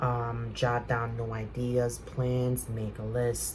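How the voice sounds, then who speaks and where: A man talks at a very slow pace. Noticeable background noise and audible room echo surround him. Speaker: tarot reader. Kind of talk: tarot reading. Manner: soft-spoken; hesitant, many fillers.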